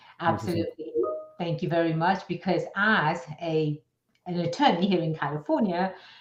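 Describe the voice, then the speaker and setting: A woman at a fairly low pitch and moderate pace, ordinary pitch variation, with music in the background. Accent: American. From outside the US. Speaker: business attorney. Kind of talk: radio interview. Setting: radio show.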